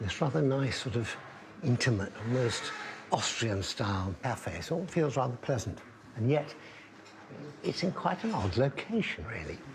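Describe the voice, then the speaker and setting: A man speaks at a moderate pace with very wide pitch swings and long, frequent pauses, over noticeable background noise. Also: medium pitch for a man. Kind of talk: casual talk to camera, travel documentary narration. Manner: soft-spoken, relaxed, gentle.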